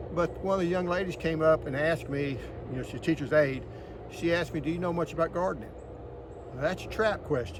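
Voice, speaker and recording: The speaker is a man with a high pitch. Noticeable noise sits in the background. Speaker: home gardener, retired agriculture worker. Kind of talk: casual garden tour video. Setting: outdoors in garden. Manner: fast.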